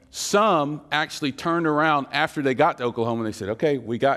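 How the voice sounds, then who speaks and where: Lively intonation from a man, captured on a very clean recording against a silent background. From western North Carolina, Appalachian foothills. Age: 40s. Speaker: teacher and activist. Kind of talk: seminar teaching. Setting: church seminar with audience. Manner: conversational; engaging.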